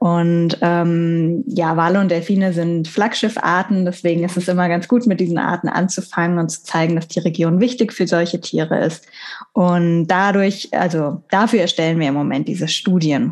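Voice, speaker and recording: With a plain, everyday voice, a woman speaks at a fairly low pitch and moderate pace, her intonation fairly even. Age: 30s. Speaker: marine biologist. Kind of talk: casual interview.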